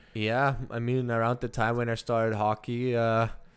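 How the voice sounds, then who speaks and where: The recording is very clean, with a silent background. A man with a medium pitch speaks fairly slowly in a flat monotone. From Germany. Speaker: professional hockey player. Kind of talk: casual interview. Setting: studio.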